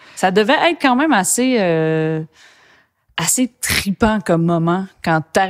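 Here a woman talks. Little else can be heard behind her. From Quebec, Saguenay; Quebec. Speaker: podcast host and bassist musician; podcast host. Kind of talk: casual interview. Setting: studio. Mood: warm, enthusiastic. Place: studio.

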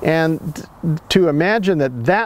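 A man's high-pitched voice with lively intonation and a dry sound with no echo. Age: 70s. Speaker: ecosystem restoration advocate and filmmaker. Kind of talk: interview conversation. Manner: repetitive, halting restarts. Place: garden.

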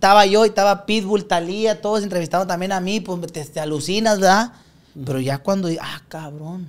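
Loudness swings widely as a man speaks at a moderate pace in a high pitch with ordinary pitch variation. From Nuevo Laredo, Tamaulipas, northern Mexico; Tamaulipas, Mexico. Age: 20s. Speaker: regional Mexican singer; podcast guest. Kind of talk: casual chat. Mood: animated, joking, relaxed. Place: studio. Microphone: studio mic.

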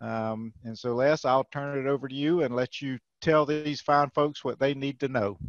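Here a man with a fairly high pitch speaks at a moderate pace with fairly even intonation. The sound is dry with no echo, and the background is quiet. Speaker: webinar moderator, extension educator. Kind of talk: webinar moderation and Q&A. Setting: video call. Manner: casual, hesitant with many fillers. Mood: friendly, welcoming. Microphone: video call.

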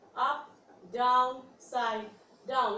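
A high-pitched woman's voice at a very slow pace, with light background noise and audible room echo. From India. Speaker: fitness instructor. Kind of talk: guided chair workout instruction with rhythmic rep counting. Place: home room. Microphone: camera far.

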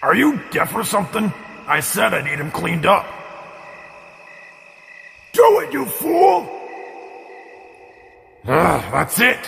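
Putting on a character voice, a man speaks slowly in a high pitch with a fairly bright tone, vocal fry, big pitch swings and long, frequent pauses.

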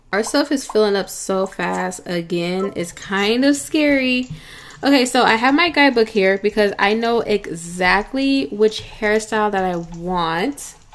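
Noticeable background noise sits behind a woman with a fairly high pitch who speaks at a fairly slow pace with lively intonation. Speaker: gaming YouTuber. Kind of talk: let's play commentary. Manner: low energy.

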